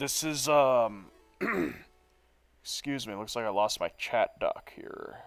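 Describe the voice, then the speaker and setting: A man speaks at a very slow pace with long, frequent pauses, music playing in the background. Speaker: video game streamer. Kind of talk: live game stream commentary. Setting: live stream. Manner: casual, chatty.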